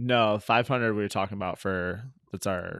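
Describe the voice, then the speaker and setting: A man with an unremarkable speaking voice talks at a fairly low pitch and moderate pace. His intonation is fairly even, and the recording is very clean with a silent background. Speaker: personal trainer and co-host. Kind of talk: casual chat.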